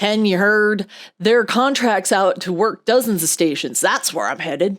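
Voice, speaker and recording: A woman puts on a gravelly character voice at medium pitch, with ordinary pitch variation and a moderate pace. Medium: read story. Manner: blunt.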